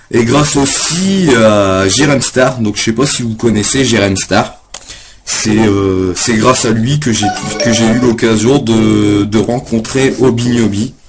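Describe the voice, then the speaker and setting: Music plays in the background as a man speaks at a very slow pace with ordinary pitch variation. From northern France. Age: 20s. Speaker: poet. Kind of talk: casual chat. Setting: live webcam stream. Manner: halting.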